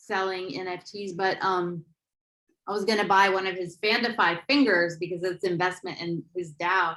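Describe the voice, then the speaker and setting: A woman speaks loudly at a fairly slow pace. Her medium-pitched voice has a bright, sharp tone. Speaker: NFT interviewer. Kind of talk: interview. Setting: video call.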